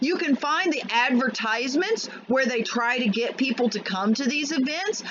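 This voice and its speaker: The speech moves at a moderate pace. Noticeable noise sits in the background. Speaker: political commentary vlogger. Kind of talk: angry rant. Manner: loud, shouting.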